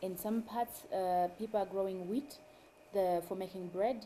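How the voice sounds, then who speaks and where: A woman speaks in a Zimbabwean accent with a dark, mellow tone. Her pitch is medium, with ordinary pitch variation. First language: Shona. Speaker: mushroom farmer and food activist. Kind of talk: interview.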